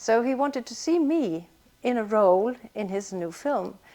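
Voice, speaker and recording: A woman with a Swedish accent and fairly high pitch at a fairly slow pace, with very wide pitch swings. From Sweden. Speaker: actress. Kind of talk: interview. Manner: halting.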